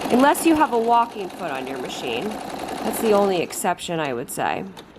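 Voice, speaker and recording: Over noticeable background noise, a woman with a medium pitch speaks at a moderate pace, with big swings in loudness and very wide pitch swings. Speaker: sewing instructor. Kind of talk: tutorial. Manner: casual, conversational.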